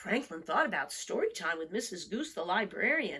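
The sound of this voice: A woman's fairly low voice with big pitch swings, a bright, sharp tone, a husky, rough edge and a moderate pace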